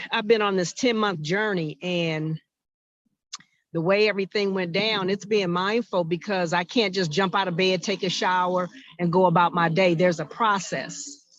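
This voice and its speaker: A woman's medium-pitched voice, an ordinary speaking voice, moderate in pace and fairly even in intonation. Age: 60s. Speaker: workshop participant. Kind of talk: casual chat.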